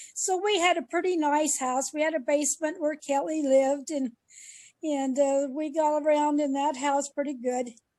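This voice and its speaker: A woman's high voice, dark and mellow in tone, at a moderate pace with fairly even intonation. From Idaho, US. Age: 70s. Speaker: mother sharing family memories. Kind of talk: family storytelling interview. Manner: halting.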